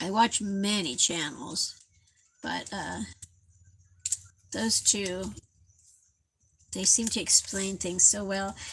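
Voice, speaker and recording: A woman speaks at a very slow pace, somewhat breathy. The recording is very clean, with a silent background. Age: 60s. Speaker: craft livestreamer. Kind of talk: casual live craft tutorial. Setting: livestream at home.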